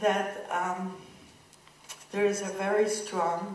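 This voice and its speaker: With an American accent, a woman of medium pitch speaks over noticeable background noise, with audible room echo. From Israel, Jerusalem. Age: 60s. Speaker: human rights advocate and former politician. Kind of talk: conference talk. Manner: animated.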